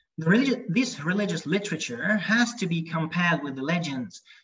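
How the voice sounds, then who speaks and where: Lively intonation from a man with a Hungarian accent, against a quiet background. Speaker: lecturer. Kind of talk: lecture; Q&A answers. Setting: video call. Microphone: video call.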